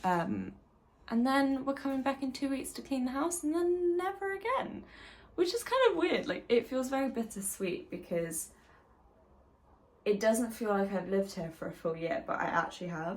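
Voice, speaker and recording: A woman with a British accent and very wide pitch swings. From UK. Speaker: university student. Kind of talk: casual vlog talk to camera.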